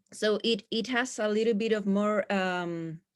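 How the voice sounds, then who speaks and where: Speaking with a Spanish accent and fairly even intonation, a woman is heard in a dry, close sound with no echo. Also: very clean recording, silent background. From Chile. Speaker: physiotherapist. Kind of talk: lecture.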